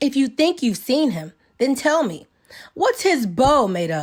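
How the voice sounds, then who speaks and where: In a put-on character voice, a woman speaks quietly at a high pitch. Her delivery is fairly slow, with very wide pitch swings. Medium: read story. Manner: quiet, firm.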